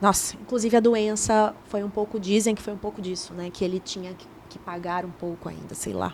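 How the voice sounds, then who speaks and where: Hardly pausing, a woman talks at a fairly quick pace in a monotone, flat intonation. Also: medium pitch for a woman. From Brazil, Belém do Pará. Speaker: journalist and TV presenter. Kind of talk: casual interview chat. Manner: talkative.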